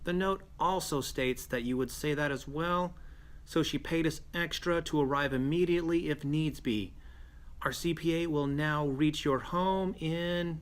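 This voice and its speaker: This is a put-on character voice with a nasal sound. It moves at a moderate pace. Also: man, fairly high pitch for a man. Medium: actual play. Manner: polite, formal.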